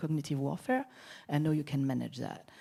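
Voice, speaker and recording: With a French accent, a woman speaks in a very deep, low, dark and mellow voice with fairly even intonation, captured in a very clean recording with a silent background. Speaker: security expert, conference panelist. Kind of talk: panel discussion.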